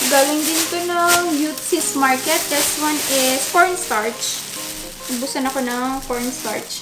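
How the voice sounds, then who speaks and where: A woman talks very slowly. There is music behind her. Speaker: mom vlogger. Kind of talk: casual haul vlog chat. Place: kitchen. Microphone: camera far.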